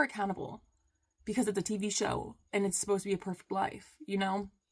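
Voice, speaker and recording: At a fairly quick pace, a woman talks in a somewhat breathy voice at medium pitch. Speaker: vlogger. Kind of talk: casual monologue.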